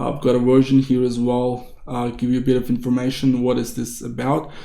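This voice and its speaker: A man's dark, mellow tone at a fairly quick pace, with audible room echo. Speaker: tech tutorial youtuber. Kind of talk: screen-recorded tutorial. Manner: fast; casual, with fillers. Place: home room.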